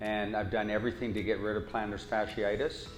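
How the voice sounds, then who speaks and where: Music plays in the background and the room echo is audible. The speech moves at a fairly quick pace. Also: man. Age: 60s. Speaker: patient giving a testimonial. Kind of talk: testimony.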